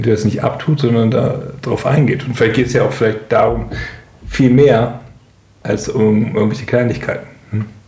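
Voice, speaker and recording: A man at a medium pitch speaks at a moderate pace with fairly even intonation and long, frequent pauses, with audible room echo and noticeable background noise. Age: 30s. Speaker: podcast co-host. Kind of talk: casual chat.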